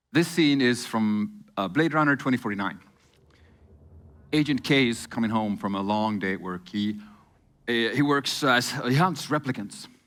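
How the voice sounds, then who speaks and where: Over music in the background, a man of medium pitch speaks at a moderate pace with lively intonation and long, frequent pauses. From Sami region of northern Nordics. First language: Northern Sami. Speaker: agency co-founder and creative director. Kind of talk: conference keynote talk.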